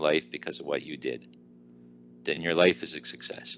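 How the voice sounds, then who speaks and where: A man with a Newfoundland accent talks at a very fast pace. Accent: Newfoundland Canadian. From Newfoundland, eastern Canada. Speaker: weight loss speaker and author. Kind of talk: podcast interview. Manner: halting.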